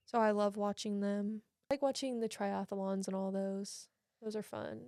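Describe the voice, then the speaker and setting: With an American accent, a woman talks in a dark, mellow tone. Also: medium pitch for a woman, moderate pace. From United States, Oklahoma. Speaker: college soccer player. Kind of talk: casual podcast conversation. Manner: animated, chatty.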